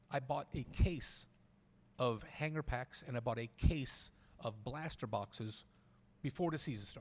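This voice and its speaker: A man speaks in an animated tone that is somewhat breathy. His pitch variation is ordinary. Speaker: podcast co-host and card reseller. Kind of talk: casual chat. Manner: fast.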